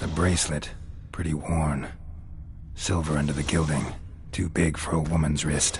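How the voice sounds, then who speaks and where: Over clear background noise, a man does a put-on character voice at a moderate pace. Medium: machinima. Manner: terse, deadpan.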